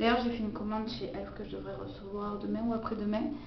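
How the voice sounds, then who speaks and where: Both room echo and background noise are clearly audible in the clip. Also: woman. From Quebec. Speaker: beauty vlogger. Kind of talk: makeup tutorial. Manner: casual, hesitant with fillers.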